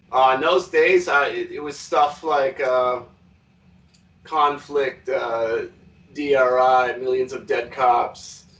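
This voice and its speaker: Speaking at a very slow pace in a Quebec accent, a man has a fairly high pitch and fairly even intonation. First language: French. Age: 30s. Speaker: metal musician. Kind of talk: interview. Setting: video call.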